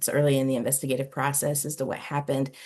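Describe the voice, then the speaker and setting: With an American accent, a woman speaks in a very deep, low pitch against a quiet background. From United States. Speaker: ministry diversity facilitator. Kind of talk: facilitated discussion.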